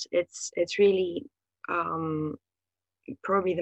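The sound is dry and close, with no echo. A woman speaks with a Bulgarian accent. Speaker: writer and literary translator. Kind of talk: interview answers. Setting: video call. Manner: hesitant with fillers.

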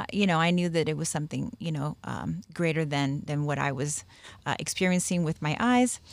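In a plain, everyday voice, a woman with an American accent speaks at a fairly low pitch on a very clean recording with a silent background. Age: 50s. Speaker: spiritist medium. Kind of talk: podcast interview.

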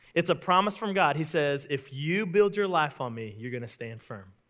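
With an American accent, a man talks at a moderate pace in a fairly high pitch, his intonation lively. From Oklahoma. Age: 30s. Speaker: pastor. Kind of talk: sermon. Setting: church.

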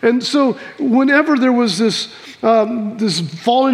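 Noticeable background noise sits behind a man whose pitch is extremely high. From Missouri, US Midwest. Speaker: pastor. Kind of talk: sermon. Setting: church.

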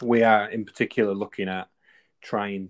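A man with a Manchester accent speaks at a moderate pace with a fairly low pitch and monotone, flat intonation, in a dry, close sound with no echo and a quiet background. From northern England, near Manchester. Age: 20s. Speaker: clothing company founder and former police officer. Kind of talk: interview conversation.

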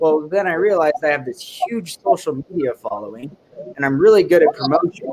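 With an unremarkable speaking voice, a man talks at a fairly quick pace in a fairly high pitch with lively intonation. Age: 30s. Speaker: podcast co-host, snowmobiler. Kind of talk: casual chat.

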